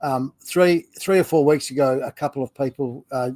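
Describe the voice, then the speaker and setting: In an Australian accent, a man speaks at a fairly high pitch with fairly even intonation. The sound is dry and close, with no echo. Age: 50s. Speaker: retiring business owner and content creator. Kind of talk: casual interview chat; spoken introduction. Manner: hesitant, many fillers.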